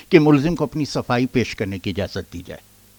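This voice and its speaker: Lively intonation and an ordinary speaking voice, recorded with a dry, close sound and no echo. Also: man. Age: 60s. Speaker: author. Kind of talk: speech.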